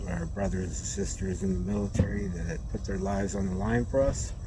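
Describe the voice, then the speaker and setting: A man's voice amid noticeable background noise. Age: 60s. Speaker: food delivery gig driver. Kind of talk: casual vlog talk to camera.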